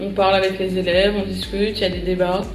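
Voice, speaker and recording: A woman talks fairly quickly, with noticeable background noise and audible room echo around her. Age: 20s. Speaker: civic service volunteer. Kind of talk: interview testimony. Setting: at a high school.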